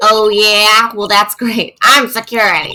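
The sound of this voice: A woman talks at a fairly slow pace in a strained, put-on character voice pitched fairly high.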